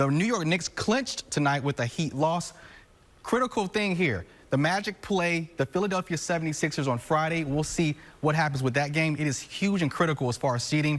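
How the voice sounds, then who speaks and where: A man speaks at a fairly quick pace in a plain, everyday voice, fairly high-pitched for a man, with ordinary pitch variation and very even loudness. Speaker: sports anchor. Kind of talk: sports broadcast anchor read.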